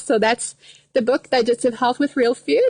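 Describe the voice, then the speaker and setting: A woman talks in a Quebec accent. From Quebec, Canada. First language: French. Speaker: dietitian. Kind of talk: live stream casual chat. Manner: hesitant, many fillers.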